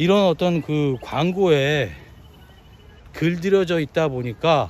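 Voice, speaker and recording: A man talks at a very slow pace. His pitch is fairly high. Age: 50s. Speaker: trade business owner. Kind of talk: casual talk to camera.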